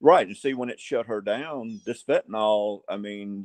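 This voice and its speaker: The voice carries an Alabama accent. Sound is dry and close, with no echo. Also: man. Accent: Southern US (Alabama). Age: 60s. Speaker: sheriff candidate. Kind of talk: interview. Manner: halting.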